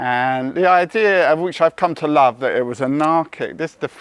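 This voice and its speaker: Against noticeable background noise, a man talks with lively intonation. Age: 60s. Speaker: comedian. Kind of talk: casual chat. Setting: festival interview.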